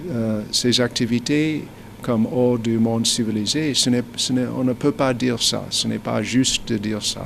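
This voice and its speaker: At a fairly slow pace, a man talks in a medium pitch with fairly even intonation. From United States. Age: 60s. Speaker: businessman. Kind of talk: interview. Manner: halting, frequent hesitations.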